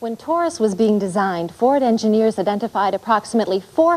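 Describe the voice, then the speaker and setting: A woman speaks with an American accent in a fairly high pitch. Her tone is dark and mellow, and her intonation is lively. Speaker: presenter. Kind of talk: corporate training narration.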